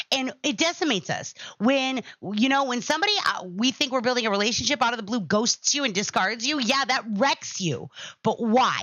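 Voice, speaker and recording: A woman speaks loudly at a fairly quick pace in a high voice. Her tone is animated and her intonation lively. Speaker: podcast host. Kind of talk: casual monologue to live chat.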